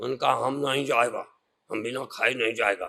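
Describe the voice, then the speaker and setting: A man's raspy, put-on character voice, medium in pitch, monotone and flat, at a moderate pace. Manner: scary, menacing.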